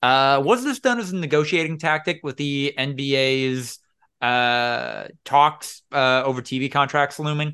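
With a quiet background, a man in a plain, everyday voice speaks at a fairly slow pace with fairly high pitch and fairly even intonation. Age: 20s. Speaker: podcast host. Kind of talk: casual chat.

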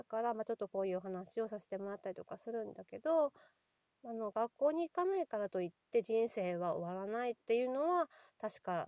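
A woman with a fairly high pitch speaks in a dark, mellow tone with lively intonation and big swings in loudness. The sound is dry and close, with no echo. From Nagasaki, Japan (fishing town). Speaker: podcast host, kindergarten staff, mother. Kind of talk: casual monologue. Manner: halting, many fillers.

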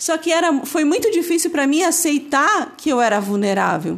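A woman's lively intonation carries her words along at a fairly slow pace. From northeast Brazil (Ceará). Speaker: podcast guest, host's wife. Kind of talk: casual faith-based book discussion.

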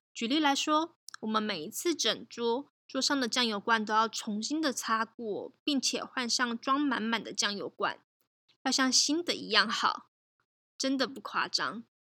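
A woman with a high pitch, ordinary pitch variation and a bright, sharp tone comes through in a very clean recording with a silent background. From Taiwan. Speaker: podcast host. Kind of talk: solo podcast storytelling.

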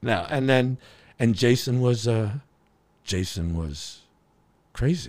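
With an American accent, a man at a medium pitch talks very slowly with lively intonation and long, frequent pauses on a very clean recording with a silent background. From Connecticut. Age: 50s. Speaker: drummer. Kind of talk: casual chat.

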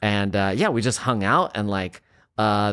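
A man with an ordinary speaking voice talks at a fairly slow pace in a fairly low pitch. The sound is dry and close with no echo, on a very clean recording with a silent background. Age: 40s. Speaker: actor. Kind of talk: casual chat.

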